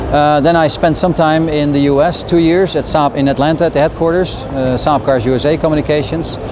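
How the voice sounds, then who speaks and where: Fairly quick, monotone, flat speech with hardly any pauses and very even loudness, over noticeable background noise. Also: man, fairly high pitch for a man. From Netherlands. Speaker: car company communications director. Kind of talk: interview. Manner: hesitant with many fillers.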